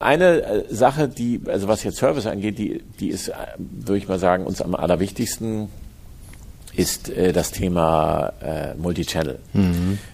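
Fairly slow and fairly low-pitched, a man talks with lively intonation. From Hamburg, northern Germany. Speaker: company executive. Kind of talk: interview. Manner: halting.

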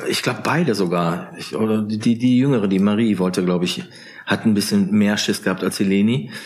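A man speaks with a calm tone at a fairly low pitch. His intonation is lively and his pace fairly quick. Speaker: author. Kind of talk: casual chat.

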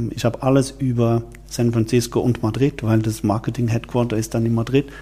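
Noticeable background noise sits under a man speaking at a medium pitch with fairly even intonation. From Switzerland. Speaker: wine event organizer, former media executive. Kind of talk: interview. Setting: office, in person.

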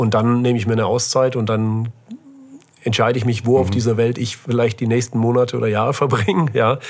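Very fast and monotone, a man talks with flat intonation and very even loudness. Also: medium pitch for a man. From Germany, Böblingen/Sindelfingen area (Swabia). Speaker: startup incubator CEO. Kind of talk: casual interview.

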